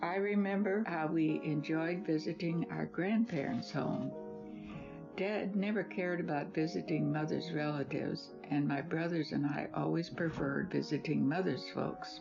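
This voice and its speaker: Music plays behind a woman speaking at a moderate pace. Her very deep, low pitch swings very widely. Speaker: grandmother. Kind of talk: reading aloud her own life essay.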